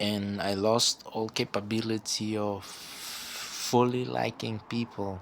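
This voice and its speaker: With a non-native accent, a man speaks in a fairly low pitch with ordinary pitch variation. His pace is very slow with hardly any pauses, over noticeable background noise. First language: not English. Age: 20s. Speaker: vlogger. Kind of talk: personal monologue. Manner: halting; stutter.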